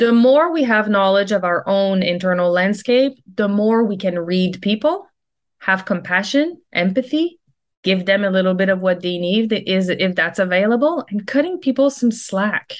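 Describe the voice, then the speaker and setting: An ordinary speaking voice from a woman at medium pitch, at a moderate pace, over a quiet background. Her pitch variation is ordinary and her loudness very even. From Quebec, Canada (near Quebec City). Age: 40s. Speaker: leadership and life coach. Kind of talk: casual interview chat.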